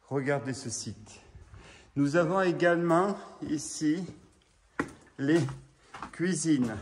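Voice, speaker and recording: Amid audible room echo, a man with a fairly high pitch talks at a very slow pace, leaving long, frequent pauses, his pitch varying in an ordinary way. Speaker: urban explorer vlogger. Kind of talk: walking tour vlog. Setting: outdoors in the rain. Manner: loud.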